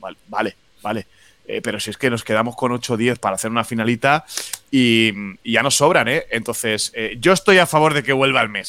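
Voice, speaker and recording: Rather quick speech from a man, mid-range in pitch, with a bright, sharp tone. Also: ordinary pitch variation. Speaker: podcast co-host. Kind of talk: casual chat. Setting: video call. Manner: halting.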